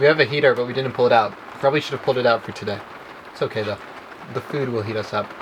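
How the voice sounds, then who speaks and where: This man speaks at a very fast pace, yet leaves long, frequent pauses. His pitch is medium and his intonation fairly even, with noticeable background noise behind him. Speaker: vlogger. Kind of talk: casual vlog chat. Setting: inside converted box truck.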